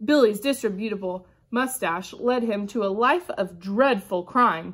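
At a very slow pace, a woman talks in a fairly high pitch. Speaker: kindergarten teacher. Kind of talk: picture book read-aloud for young children. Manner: upbeat, animated. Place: classroom. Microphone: phone near.

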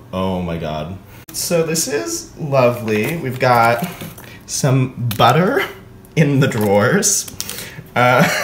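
The speech moves at a very slow pace, with light background noise and audible room echo. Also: man. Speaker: vlogger. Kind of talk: casual vlog chat. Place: kitchen. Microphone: phone near.

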